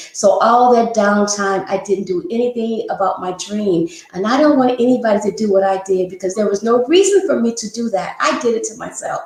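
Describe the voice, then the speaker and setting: A woman with a fairly high voice and ordinary pitch variation talks at a fairly quick pace with hardly any pauses, over noticeable background noise. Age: 60s. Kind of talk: interview. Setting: live stream.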